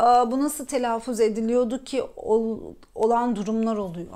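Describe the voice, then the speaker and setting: Delivery comes fairly slowly, and the intonation stays fairly even. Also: woman. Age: 30s. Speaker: personal development coach, YouTuber. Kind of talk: personal talk to camera. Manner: halting, many fillers.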